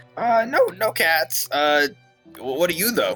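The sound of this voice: A man uses a put-on character voice that is soft-spoken, nasal and high-pitched. He speaks at a fairly slow pace over faint background music.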